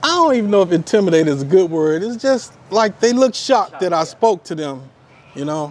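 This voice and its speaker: Light background noise sits behind a man speaking very fast. His pitch is high and his intonation lively. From Houston, Texas. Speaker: expat subscriber. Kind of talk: casual interview. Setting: at his apartment. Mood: relaxed, friendly. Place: street. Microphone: lapel.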